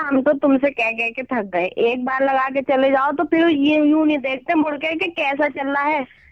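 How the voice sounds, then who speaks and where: A woman talks at a high pitch and moderate pace, with ordinary pitch variation and hardly any pauses. Noticeable background noise is present. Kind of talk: prank call victim, casual phone talk. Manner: annoyed, complaining.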